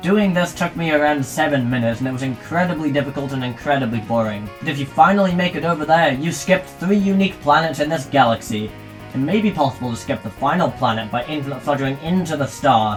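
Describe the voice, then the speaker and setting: A man's fairly high voice at a very fast pace, lively in intonation, with music in the background. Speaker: gaming video commentator. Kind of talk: scripted gaming commentary. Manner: enthusiastic.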